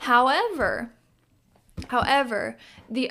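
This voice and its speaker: Recorded very cleanly against a silent background, a woman speaks with a fairly high pitch and ordinary pitch variation. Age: 20s. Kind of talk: casual chat.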